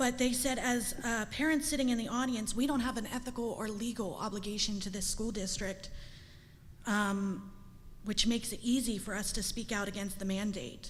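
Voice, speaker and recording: With audible room echo, a woman talks at a moderate pace in a fairly high, somewhat breathy voice with fairly even intonation. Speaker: parent speaking at public comment. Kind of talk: public comment speech. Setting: school board meeting. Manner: emotional.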